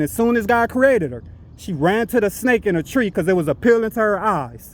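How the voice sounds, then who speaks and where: At a fairly quick pace, a man speaks. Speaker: religious street teacher / vlogger. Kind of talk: preaching monologue to camera. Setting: outdoors, walking. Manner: loud, yelling; halting with many fillers.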